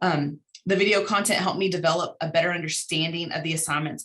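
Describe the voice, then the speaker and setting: A woman with an American accent talks in fairly even intonation. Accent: slight Texan drawl, less when talking fast. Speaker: university instructor presenting research. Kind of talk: conference presentation. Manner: fast.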